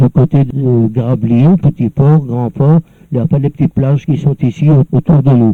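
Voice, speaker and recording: Somewhat breathy, a man talks with a fairly high pitch. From northern France, Nord coast near Dunkirk. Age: 70s. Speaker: elderly former local resident. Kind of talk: personal reminiscence. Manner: halting, with many repeated words.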